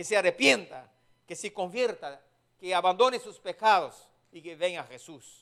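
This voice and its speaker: Someone with a strong non-native accent speaks at a fairly slow pace. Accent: strong foreign accent in Spanish. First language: not Spanish (speaking Spanish). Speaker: preacher. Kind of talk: sermon. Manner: halting.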